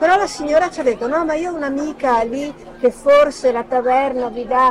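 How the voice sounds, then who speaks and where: Over crowd noise in the background, a woman speaks at a high pitch with lively intonation and a moderate pace. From northern Italy, Milan. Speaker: retired journalist. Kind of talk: casual interview.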